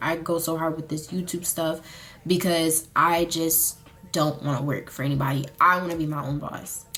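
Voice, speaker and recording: Music plays behind a woman who speaks at a moderate pace in a very deep, low pitch with monotone, flat intonation. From US South, Charlotte, North Carolina. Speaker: beauty and lifestyle vlogger. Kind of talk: casual chat, get ready with me. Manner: casual, filler-heavy.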